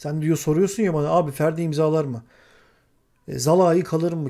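Set against a quiet background, a man talks at a moderate pace in a fairly high pitch with a dark, mellow tone. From Turkey. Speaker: football commentator. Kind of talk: casual chat; heated panel discussion. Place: home room.

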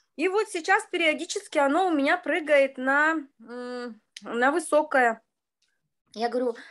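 A high-pitched woman talks fairly slowly, her pitch varying in an ordinary way. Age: 50s. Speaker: participant sharing a story. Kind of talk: storytelling, testimonial. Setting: video call. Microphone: video call.

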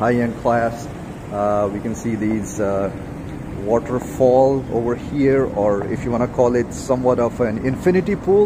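The voice moves at a moderate pace with ordinary pitch variation. Noticeable background noise runs underneath. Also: man. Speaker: travel vlogger. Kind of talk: casual vlog chat. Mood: upbeat, enthusiastic. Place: garden. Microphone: phone near.

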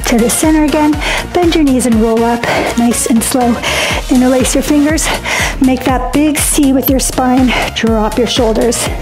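A woman's high-pitched voice at a moderate pace, with fairly even intonation, long and frequent pauses, and clear music in the background. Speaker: fitness instructor. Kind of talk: workout instruction. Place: home room.

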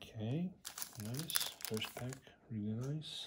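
Over loud background noise, a somewhat breathy man talks at a very slow pace with ordinary pitch variation. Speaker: trading card collector. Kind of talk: casual talk to camera. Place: home room. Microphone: phone near.

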